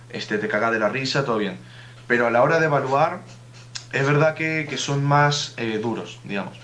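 A man speaks at a moderate pace in a medium pitch. There is audible room echo and noticeable background noise. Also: ordinary pitch variation. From Uruguay. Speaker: student. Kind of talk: casual chat.

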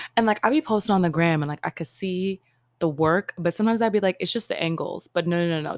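A woman speaks with an animated tone, fairly low in pitch and with ordinary pitch variation. The recording is very clean and dry, close, with no echo and a silent background. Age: 30s. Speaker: podcast host. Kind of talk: solo casual monologue.

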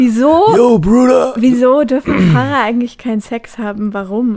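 At a fairly slow pace, a woman with a fairly high pitch speaks in a plain, everyday voice. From Brandenburg, Germany (Nauen). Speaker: radio host. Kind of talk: casual chat.

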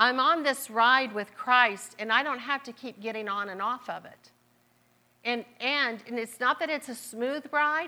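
High pitch, a bright, sharp tone and a Southern accent from a woman at a moderate pace, in a very clean recording with a silent background. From US Midwest (Marietta, Ohio). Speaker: guest preacher. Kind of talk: sermon. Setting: church.

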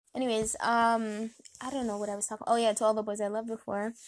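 A woman speaks at a fast pace with a fairly high pitch. Her pitch moves very little.

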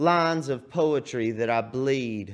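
A man with a Texan accent at a very slow pace, with audible room echo. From Texas (Cedar Creek Lake). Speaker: poet. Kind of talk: poetry performance. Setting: TV studio stage.

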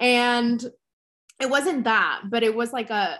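A bright, sharp tone at a fairly slow pace. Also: woman. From Texas (Dallas), born in Mexico City. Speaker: beauty entrepreneur and blogger. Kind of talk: interview.

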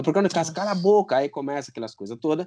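The voice has a Guinea-Bissau accent and a dark, mellow tone. The background is quiet. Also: man. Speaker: parent guest. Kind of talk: casual chat.

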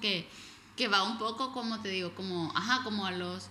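A woman at a fairly quick pace, with ordinary pitch variation, audible room echo and noticeable background noise. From El Salvador. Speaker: podcast co-host. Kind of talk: casual chat. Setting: living room at home.

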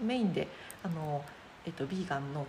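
A woman with a very deep, low voice talks fairly quickly, her intonation lively. Noticeable background noise and audible room echo surround her. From Chiba, Japan. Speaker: cook and caterer. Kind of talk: casual interview.

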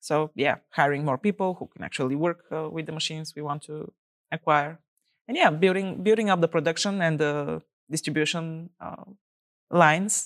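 On a very clean recording with a silent background, a woman with a Bulgarian accent speaks at a moderate pace, the sound dry and close with no echo. Her very deep, low pitch shows ordinary variation, while her loudness swings widely. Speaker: startup founder. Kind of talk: interview.

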